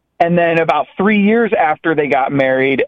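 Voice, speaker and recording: Lively intonation runs through this man's ordinary speaking voice. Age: 30s. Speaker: caller. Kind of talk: casual chat.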